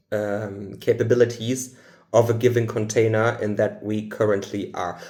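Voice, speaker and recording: A man with a German accent, fairly slow in pace and fairly even in intonation. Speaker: spiritual channeler. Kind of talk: channeled spiritual talk. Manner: halting.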